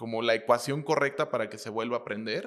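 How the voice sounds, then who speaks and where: This is a man with a normal speaking voice at medium pitch and ordinary pitch variation. The recording is very clean, with a silent background. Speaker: interviewer. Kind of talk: interview.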